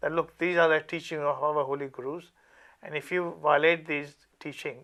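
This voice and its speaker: A man talks at a moderate pace in a bright, sharp tone. His pitch is fairly high, and his intonation is flat and monotone. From India (Delhi). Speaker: campaign group secretary. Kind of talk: interview.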